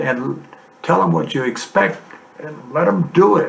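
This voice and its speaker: A man talks with lively intonation at a moderate pace as noticeable background noise carries on behind him. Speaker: grandfather, former naval serviceman. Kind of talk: reminiscing, telling stories in conversation.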